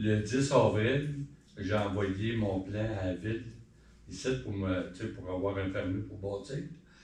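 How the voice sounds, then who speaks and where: A man's very slow, fairly low-pitched speech with long, frequent pauses, big swings in loudness and ordinary pitch variation, amid audible room echo and noticeable background noise. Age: 60s. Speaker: citizen at council question period. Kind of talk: public question period. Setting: town hall council meeting. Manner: conversational.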